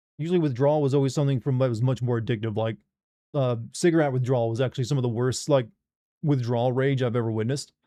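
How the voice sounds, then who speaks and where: A man's medium-pitched voice with an American accent, a dark, mellow tone, fairly even intonation and a very fast pace. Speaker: gaming streamer. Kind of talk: casual chat. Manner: stumbles over words.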